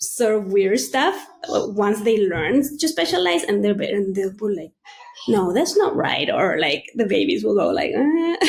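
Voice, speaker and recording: Speaking fairly slowly with a non-native accent, a woman uses an animated tone, medium pitch and very wide pitch swings. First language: Spanish. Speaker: neuroscientist podcast co-host. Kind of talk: casual chat.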